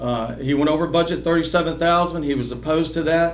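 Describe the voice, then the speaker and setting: A man talks at a very fast pace with fairly even intonation. Room echo is audible. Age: 60s. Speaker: political candidate. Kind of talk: candidate forum speech. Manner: halting, many repetitions.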